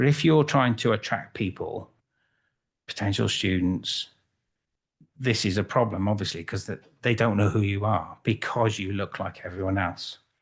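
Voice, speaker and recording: A somewhat breathy voice with a Welsh accent at a moderate pace, with long, frequent pauses, ordinary pitch variation and a quiet background. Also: man, fairly low pitch for a man. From Wales, Cardiff. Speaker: photographer. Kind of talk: conference talk. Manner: halting.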